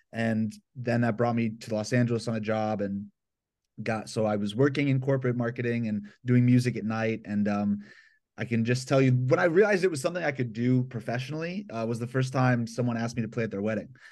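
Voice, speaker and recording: Talking very fast, a man with an American accent is heard against a quiet background. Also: medium pitch for a man, ordinary pitch variation. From Atlanta, Georgia, US South. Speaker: violinist and hip-hop producer. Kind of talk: casual interview. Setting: remote call from his bedroom.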